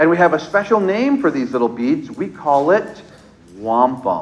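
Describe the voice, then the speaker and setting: A man's fairly high, animated voice with an American accent, very wide pitch swings, noticeable background noise and audible room echo. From Onondaga Nation, New York. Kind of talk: storytelling to young children. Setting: school assembly with children.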